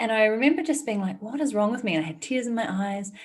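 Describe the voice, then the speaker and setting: Somewhat breathy and fairly high-pitched, a woman speaks in a New Zealand accent with lively intonation. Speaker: entrepreneur and author. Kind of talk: interview conversation.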